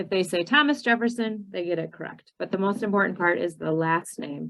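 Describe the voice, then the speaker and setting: With a Minnesotan accent, this voice moves at a moderate pace with ordinary pitch variation. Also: woman. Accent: Minnesota. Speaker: ESL citizenship teacher trainer. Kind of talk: training webinar presentation.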